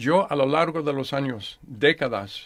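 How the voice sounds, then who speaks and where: A man with an English accent talks at a very slow pace in a fairly high voice. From United States. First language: English (speaking Spanish). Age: 60s. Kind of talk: radio interview. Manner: halting.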